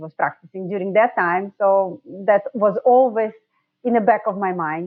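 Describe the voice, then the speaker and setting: The speaker talks at a moderate pace with fairly even intonation and a Russian accent. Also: woman, medium pitch for a woman. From Russia, Saint Petersburg. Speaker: dentist, sleep medicine specialist. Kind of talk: podcast interview.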